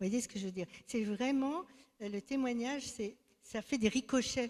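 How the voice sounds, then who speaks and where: Dark, mellow tone from a woman with a fairly high pitch and ordinary pitch variation. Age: 70s. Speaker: church member giving testimony. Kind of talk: testimony. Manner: halting.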